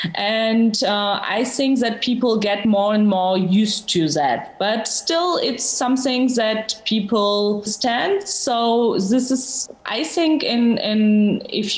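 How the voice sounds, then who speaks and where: A woman speaks very slowly in a fairly high voice with ordinary pitch variation. Room echo is audible. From Georgia. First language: Georgian. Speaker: novelist. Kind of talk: interview. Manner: halting, many fillers.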